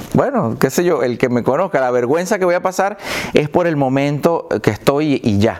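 A man speaks in a Venezuelan accent with lively intonation. Noticeable background noise sits behind him. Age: 40s. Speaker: comedian. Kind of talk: casual chat.

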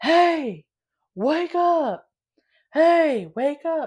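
A high-pitched put-on character voice, shouting. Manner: yelling.

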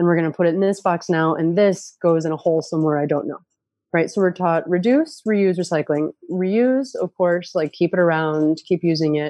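A woman with a US Northeastern accent speaks at a fairly low pitch, her tone dark and mellow, in a dry, close recording with no echo. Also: ordinary pitch variation, moderate pace. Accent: US Northeast. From upstate New York. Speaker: permaculture educator. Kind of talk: casual interview.

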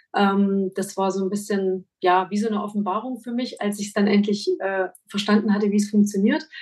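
A somewhat breathy woman at a medium pitch, moderate pace and fairly even intonation, with hardly any pauses. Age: 40s. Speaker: make-up artist and photographer. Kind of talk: interview.

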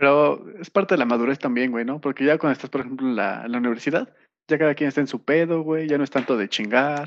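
A man's fairly high voice at a very fast pace. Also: ordinary pitch variation. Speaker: podcast co-host. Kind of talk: casual chat.

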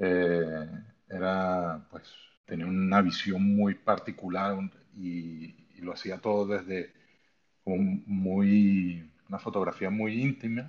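Against a quiet background, a man speaks very slowly at a very deep, low pitch. His intonation is fairly even, though his loudness swings widely. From Venezuela. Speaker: photographer. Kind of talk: interview on live audio space. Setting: online audio room. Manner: halting.

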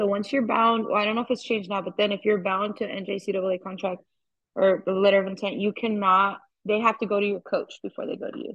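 At a fairly quick pace, a woman with an American accent speaks in a fairly high, somewhat breathy voice. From Arizona (Yuma). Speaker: softball coach. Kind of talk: interview. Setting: phone call.

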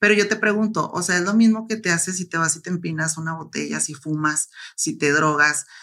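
This woman's voice sits fairly low and has a bright, sharp tone. She talks at a fairly quick pace with ordinary pitch variation. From Mexico, La Laguna region. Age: 30s. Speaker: bodybuilder. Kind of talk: interview.

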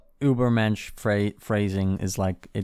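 A man with a fairly low pitch talks at a moderate pace with fairly even intonation in a plain, everyday voice. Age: 20s. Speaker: podcast co-host. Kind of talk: casual chat.

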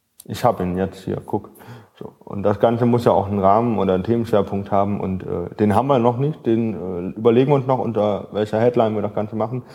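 A man talks at a very fast pace with fairly even intonation and a fairly low pitch. Noticeable background noise is present. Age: young. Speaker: podcast host, theology student. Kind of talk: casual chat.

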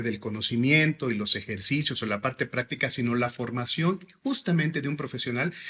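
A man's voice has a bright, sharp tone and lively intonation. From Mexico, Veracruz (Xalapa). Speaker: school director. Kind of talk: interview.

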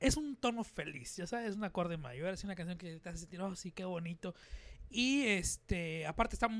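Loudness swings widely as a man talks at a moderate pace with lively intonation. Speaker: podcast host and musician. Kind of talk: casual chat. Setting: studio with cameras.

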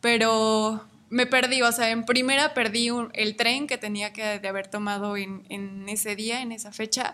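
At a fairly slow pace, a woman speaks with fairly even intonation, a fairly high pitch and a bright, sharp tone. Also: very clean recording, silent background. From Mexico, Michoacán. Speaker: traveler. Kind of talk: casual chat.

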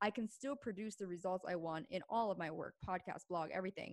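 Speaking with an American accent, a woman uses a normal speaking voice. Her pitch is medium and her pace fairly quick. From Pennsylvania, US. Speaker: podcaster and business consultant. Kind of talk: casual chat.

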